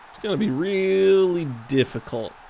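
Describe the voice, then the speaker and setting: Against noticeable background noise, a man talks in an animated tone with lively intonation. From US South, raised in US North. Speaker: gaming streamer. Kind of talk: gameplay commentary. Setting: live stream.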